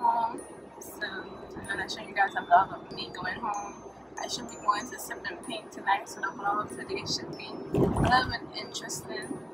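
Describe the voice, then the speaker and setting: Loud background noise runs under a woman speaking at a fairly slow pace. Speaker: vlogger. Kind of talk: casual vlog chat. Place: car. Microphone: phone near.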